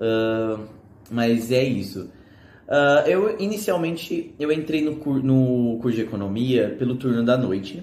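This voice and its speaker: Speaking very slowly in a room with audible echo, a man uses a medium pitch and lively intonation. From Brazil, São Paulo. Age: 20s. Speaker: economics student. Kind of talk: casual video presentation. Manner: hesitant, many fillers.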